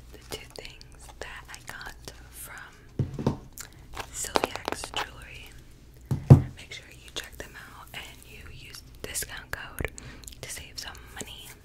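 A woman whispering, soft-spoken, at a very slow pace with long, frequent pauses. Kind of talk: soft-spoken ASMR-style product review. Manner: soft close-mic ASMR whisper. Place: home room. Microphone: studio mic.

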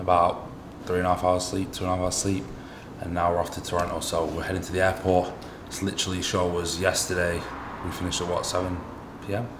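A man's very deep, low, monotone voice with flat intonation, over noticeable background noise. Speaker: bodybuilder vlogger. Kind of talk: casual vlog chat. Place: home room. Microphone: phone near.

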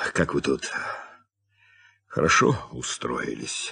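A man puts on a raspy character voice, pitched very deep and low. He speaks at a fairly slow pace. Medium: audio drama. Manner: measured, calm.

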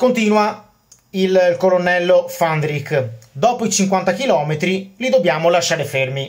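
A man with a Venetian accent talks at a very slow pace in a high voice. His intonation is lively, and the background is quiet. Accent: Venetian-accented Italian. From Veneto, Venice. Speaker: history YouTuber. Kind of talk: educational monologue about military history. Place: home room. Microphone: phone near.

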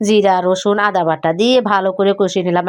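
Her intonation monotone and flat, a woman talks in a medium pitch. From Noakhali, Bangladesh. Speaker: home cooking vlogger. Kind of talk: cooking vlog narration. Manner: casual, conversational.

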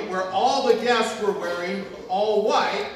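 Recorded with strong room echo and light background noise, a man talks at a moderate pace with ordinary pitch variation. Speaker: pastor. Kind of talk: sermon. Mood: humorous storytelling. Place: church.

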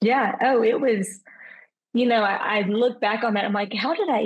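A woman talks in a Southern US accent. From Arkansas. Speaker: event planner; podcast guest. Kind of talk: personal testimony. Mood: earnest, reflective. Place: home room. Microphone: video call.

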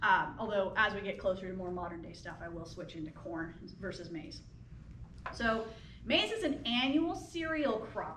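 Over light background noise and audible room echo, a woman speaks at a moderate pace with very wide pitch swings and big swings in loudness. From US Midwest, rural Illinois. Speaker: anthropology professor. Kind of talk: public lecture. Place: hall. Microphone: camera far.

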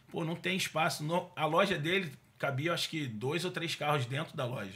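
This man talks at a fairly quick clip with a fairly high pitch, a bright, sharp tone, some vocal fry and ordinary pitch variation. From Rio de Janeiro state (Duque de Caxias, Baixada Fluminense); Rio de Janeiro state, Brazil. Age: 40s. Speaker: car dealer and business owner; podcast guest. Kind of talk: casual interview. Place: studio. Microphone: studio mic.

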